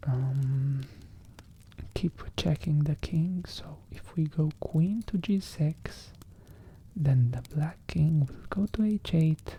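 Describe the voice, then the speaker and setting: The voice is soft-spoken and moves at a very slow pace. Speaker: chess content creator. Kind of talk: ASMR chess commentary.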